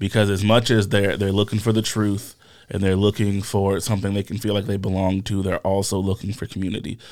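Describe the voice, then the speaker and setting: A man talks at a fairly quick pace with a fairly low pitch. His intonation stays monotone and flat. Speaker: pastor. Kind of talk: casual chat.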